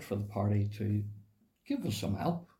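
The voice is somewhat breathy, with a dark, mellow tone. Its pitch variation is ordinary. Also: man. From Cookstown, County Tyrone, Northern Ireland. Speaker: former political party member. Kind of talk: casual interview conversation. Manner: hesitant, filler-heavy.

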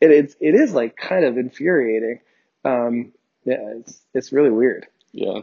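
A man with an American accent has an unremarkable speaking voice at medium pitch. He talks at a fairly slow pace with ordinary pitch variation. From New Jersey. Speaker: sports podcast host. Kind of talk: casual chat. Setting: home recording, separate tracks.

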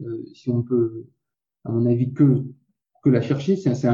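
The voice has a dark, mellow tone and is somewhat breathy. Its intonation stays fairly even. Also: man. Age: 40s. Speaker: keto diet website co-founder. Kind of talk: interview.

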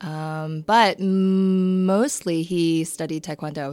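In a very clean recording with a silent background, a woman uses a normal speaking voice pitched fairly low. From Maryland, Towson/Parkville area. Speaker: realtor. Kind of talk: casual interview chat.

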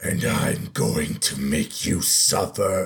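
Growling in a put-on character voice, a man speaks very slowly at a very deep, low pitch. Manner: grandiose, indignant, menacing.

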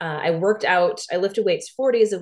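A woman's plain, everyday voice of medium pitch at a fairly quick pace. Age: 30s. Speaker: podcast host and fitness instructor. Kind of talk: solo podcast monologue. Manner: casual, many filler words.

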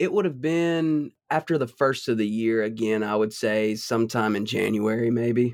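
A man talks with hardly any pauses and ordinary pitch variation. His loudness stays very even. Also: medium pitch for a man, moderate pace. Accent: Southern US. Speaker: husband of host, guest. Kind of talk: casual chat. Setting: video call.

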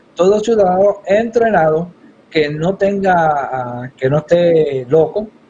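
This is an ordinary speaking voice from a man, fairly high in pitch with ordinary pitch variation. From Puerto Rico (Yabucoa). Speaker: congressional candidate. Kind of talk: political interview.

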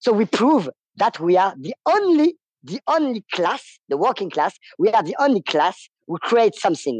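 Someone with a French accent speaks at a moderate pace. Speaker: striking worker. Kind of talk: interview. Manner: halting.

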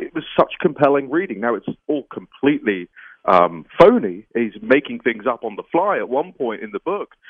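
Speaking in a British accent at a moderate pace, a man with a fairly high pitch makes very wide pitch swings. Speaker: political journalist. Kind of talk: interview.

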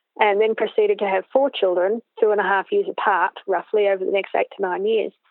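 Fairly quick speech in an Australian accent. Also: woman. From Australia, Canberra. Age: 40s. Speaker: riding coach. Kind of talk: interview.

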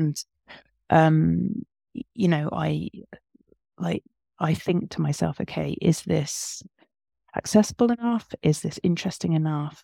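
A woman's voice at a fairly slow pace with long, frequent pauses, in a dry, close sound with no echo. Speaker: writer and art lecturer. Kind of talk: casual interview chat. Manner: thoughtful, hesitant, reflective.

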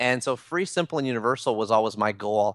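Over a quiet background, a man talks at a medium pitch. He has a plain, everyday voice. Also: dry, close sound with no echo. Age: 30s. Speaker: blogger and author. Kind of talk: interview.

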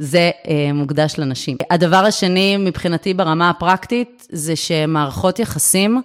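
A woman speaks at a very deep, low pitch. Her pace is fairly slow, with ordinary pitch variation. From Israel, Herzliya. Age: 30s. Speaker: real estate investor. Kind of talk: interview.

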